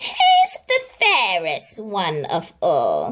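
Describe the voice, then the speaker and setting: A woman does a put-on character voice at a fairly high pitch. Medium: read story.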